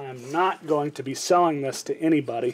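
The speech comes at a fairly slow pace with fairly even intonation over light background noise. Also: man. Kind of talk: tutorial. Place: garage. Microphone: phone near.

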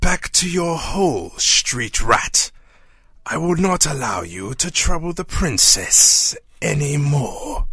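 Raspy and high-pitched, a man speaks at a fairly slow pace. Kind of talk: comic parody voice acting. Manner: pompous, sneering.

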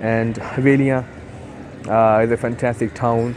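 In a dry recording with no echo and light background noise, a man speaks with fairly even intonation. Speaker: travel vlogger. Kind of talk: casual vlog chat. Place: station. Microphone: phone near.

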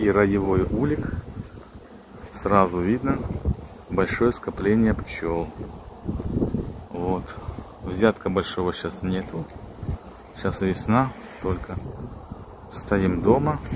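Against noticeable background noise, a man with a fairly low pitch speaks very slowly with long, frequent pauses and ordinary pitch variation, in a dry sound with no echo. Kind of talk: informal explanation to visitors. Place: farm machine.

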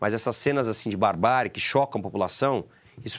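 A man is talking. His pace is very fast. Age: 30s. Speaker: football club board member; sports club council member. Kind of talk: interview. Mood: critical, earnest. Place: studio. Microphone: lapel.

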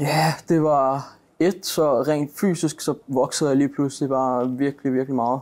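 Over a silent background on a very clean recording, a man speaks fairly slowly at a fairly high pitch with fairly even intonation. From Denmark, Greve near Copenhagen. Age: 20s. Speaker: professional footballer. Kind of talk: interview. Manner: halting.

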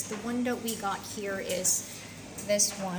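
The speaker talks at a fairly slow pace with ordinary pitch variation. Background noise is noticeable. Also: woman. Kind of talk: tutorial. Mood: friendly and helpful. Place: kitchen. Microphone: phone near.

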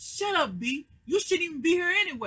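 A woman's bright, sharp voice with lively intonation, at a moderate pace. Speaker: TV show reaction vlogger. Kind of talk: casual vlog chat recapping an episode. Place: home room. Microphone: webcam.

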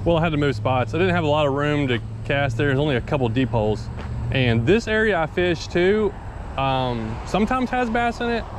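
Over noticeable background noise, a man speaks at a fairly quick pace with very wide pitch swings and a dry sound with no echo. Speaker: angler vlogger. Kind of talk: casual vlog chat. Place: waterside. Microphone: camera far.

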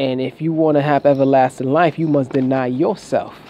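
There is noticeable background noise as a man speaks at a moderate pace. His pitch is fairly high, with ordinary variation. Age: 20s. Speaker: religious vlogger. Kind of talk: rant.

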